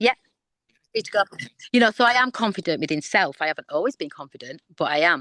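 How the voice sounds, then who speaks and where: A woman speaks loud and at a very fast pace, with a medium pitch, very wide pitch swings and an animated tone, plus long, frequent pauses. The sound is dry and close, with no echo. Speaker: guest sharing life story. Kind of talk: testimony.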